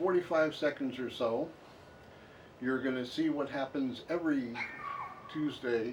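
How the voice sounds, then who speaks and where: Noticeable background noise sits behind a man with an American accent. His pitch is fairly high and his intonation fairly even. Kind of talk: casual talk to camera. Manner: wry, joking.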